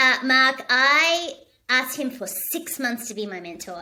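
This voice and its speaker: A woman's raised, projected, high-pitched voice with an Australian accent, an animated tone and lively intonation. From Australia, Sydney. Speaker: leadership speaker. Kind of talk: interview. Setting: home studio.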